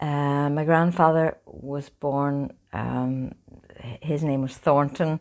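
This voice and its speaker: Very deep and low in pitch, a woman speaks at a very slow pace in a monotone, flat intonation. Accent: Northern Irish. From Northern Ireland, County Fermanagh. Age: 70s. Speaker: oral history interviewee. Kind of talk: interview, family reminiscence.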